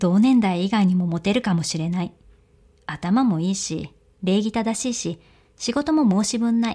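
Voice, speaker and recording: A woman speaks with a dark, mellow tone that is somewhat breathy. The recording is very clean, with a silent background. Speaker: audiobook narrator. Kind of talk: reading aloud fiction.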